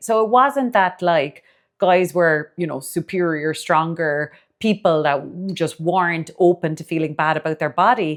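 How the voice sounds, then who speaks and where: Against a quiet background, a woman talks at a fairly slow pace in a fairly low pitch with lively intonation. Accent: Cork. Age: 40s. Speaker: dietitian and podcast host. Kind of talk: casual podcast monologue.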